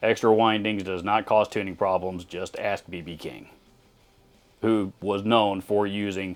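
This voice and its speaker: The intonation is monotone and flat. Music can be heard in the background. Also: man. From Texas. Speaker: guitar YouTuber, former guitar store manager. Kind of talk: casual commentary reading viewer comments. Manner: conversational with frequent fillers.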